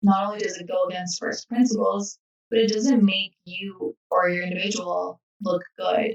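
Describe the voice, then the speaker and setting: Her medium-pitched voice keeps fairly even intonation while this woman's loudness swings widely. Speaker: robotics team marketing presenter. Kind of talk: online workshop lecture. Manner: fast.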